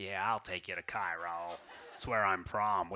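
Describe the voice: At a moderate pace, a man uses a put-on character voice pitched very deep and low.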